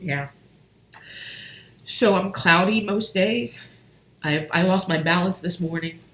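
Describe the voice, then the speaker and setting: Amid noticeable background noise, a woman speaks at a fairly low pitch with ordinary pitch variation. She leaves long, frequent pauses. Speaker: relationship coach and healer. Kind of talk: personal testimony on a live stream. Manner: halting.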